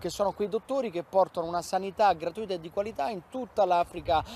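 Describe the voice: Pitched high, a man talks at a fairly quick pace in a slightly mellow tone.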